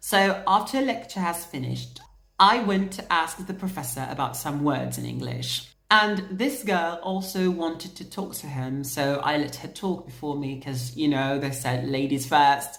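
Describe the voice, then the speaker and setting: A woman with a British accent talks at a moderate pace in a very deep, low pitch, with lively intonation, vocal fry, and big swings in loudness. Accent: British-leaning English, learned. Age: 20s. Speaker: vlogger. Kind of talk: casual storytelling vlog.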